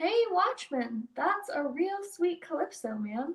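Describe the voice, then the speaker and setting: A woman puts on a squeaky character voice at an extremely high pitch, swinging very widely up and down. She speaks at a fairly slow pace. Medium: read story. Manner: friendly, cunning.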